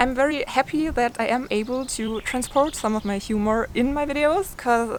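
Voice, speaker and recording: Over noticeable background noise, a woman with a German accent speaks at a high pitch with lively intonation. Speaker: lifestyle YouTuber. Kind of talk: casual Q&A monologue.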